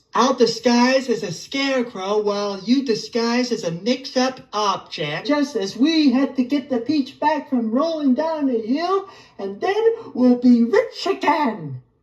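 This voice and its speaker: In a put-on character voice, a woman speaks at a high pitch and a fairly slow pace with hardly any pauses. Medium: audio drama. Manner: bossy, commanding.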